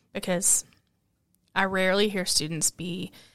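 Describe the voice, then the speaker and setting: A woman's medium-pitched voice stays monotone and flat on a very clean recording with a silent background. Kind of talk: casual chat.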